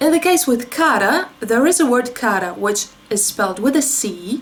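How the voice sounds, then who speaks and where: A woman speaks at a high pitch with a Russian accent, her pitch swinging very widely. Noticeable background noise accompanies her. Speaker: beauty YouTuber. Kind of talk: commentary video with on-screen demonstration. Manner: explanatory, conversational.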